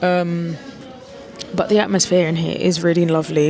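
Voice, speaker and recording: Over music in the background, a woman with a fairly low voice speaks at a moderate pace with fairly even intonation. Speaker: travel vlogger. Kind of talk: vlog to camera. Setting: airport lounge.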